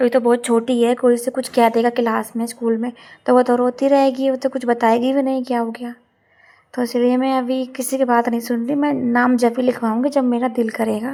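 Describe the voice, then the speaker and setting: A woman talks at a moderate pace in a high voice with a dark, mellow tone and monotone, flat intonation. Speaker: home vlogger, mother. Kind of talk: casual vlog narration. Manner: chatty.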